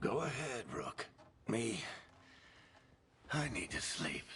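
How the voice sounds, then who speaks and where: At a fairly slow pace, a man talks in a put-on character voice. It is raspy and sits at a medium pitch. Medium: video game. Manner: wry, casual.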